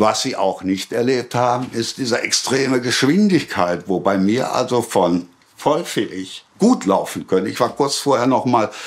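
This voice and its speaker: A man's mid-range voice comes through with noticeable background noise behind it. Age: 70s. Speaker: retired civil servant, vaccine injury testimony. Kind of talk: testimony.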